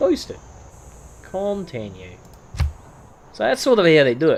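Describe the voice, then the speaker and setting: A man speaks with an Australian accent. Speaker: gaming youtuber. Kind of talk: gameplay commentary. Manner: casual.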